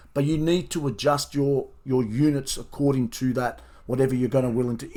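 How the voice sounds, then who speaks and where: In a very clean recording with a silent background, a man with an Australian accent speaks at a fairly high pitch with ordinary pitch variation. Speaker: professional horse racing bettor and tipster. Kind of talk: video review of race results, talking to subscribers. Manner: fast.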